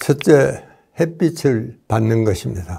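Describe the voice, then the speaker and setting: On a very clean recording with a silent background, a man speaks at a very slow pace. His voice is dark, mellow and somewhat breathy, with lively intonation. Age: 90s. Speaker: doctor. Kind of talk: lecture.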